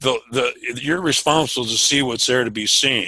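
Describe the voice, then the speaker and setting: The speaker is a man at a moderate pace. His pitch is medium and his intonation fairly even. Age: 60s. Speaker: meeting participant, advocate. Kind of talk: group discussion. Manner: halting, repetitive.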